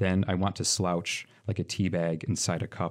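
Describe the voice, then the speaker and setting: A man's very deep, low voice with a Michigan accent, at a moderate pace with ordinary pitch variation, on a very clean recording with a silent background. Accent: general American, Michigan. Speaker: poet and journalist. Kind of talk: poem performed, read aloud in an expressive, wry, rhythmic cadence.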